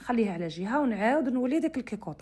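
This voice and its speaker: On a very clean recording with a silent background, a woman with a western Algerian accent speaks somewhat breathily with lively intonation. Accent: western Algerian Arabic (Oran). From Algeria, Oran (west). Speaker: cooking channel host. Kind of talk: cooking tutorial. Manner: casual, conversational.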